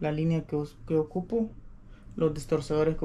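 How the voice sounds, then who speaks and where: Over light background noise, a man speaks fairly slowly with a dark, mellow tone. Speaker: fishing vlogger. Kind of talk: casual vlog chat. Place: home room. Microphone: camera far.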